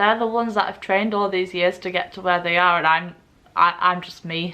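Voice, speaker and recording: In an English accent, a woman with a medium pitch and a bright, sharp tone speaks at a fairly quick pace, her intonation monotone and flat but her loudness swinging a lot. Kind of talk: personal vlog monologue. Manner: slurred speech.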